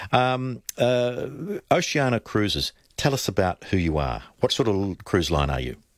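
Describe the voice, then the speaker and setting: A man with an Australian accent and fairly low pitch speaks at a fairly slow pace with very wide pitch swings. The sound is dry and close, with no echo. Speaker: radio host. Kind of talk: radio interview, casual chat. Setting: radio studio.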